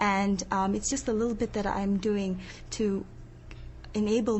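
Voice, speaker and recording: Speaking at a moderate pace, a woman with a medium pitch and a somewhat breathy voice keeps a monotone, flat intonation as audible room echo surrounds her. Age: 20s. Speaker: niqab-wearing interviewee. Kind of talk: debate discussion.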